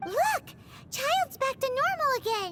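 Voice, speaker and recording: In a put-on character voice, the speaker sounds squeaky at an extremely high pitch, moving at a moderate pace. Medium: video game. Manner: loud, excitable.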